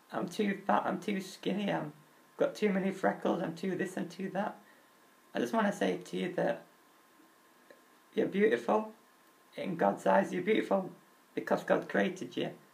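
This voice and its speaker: Long pauses come often as a man talks at a moderate pace. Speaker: vlogger with muscular dystrophy. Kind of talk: personal vlog talk.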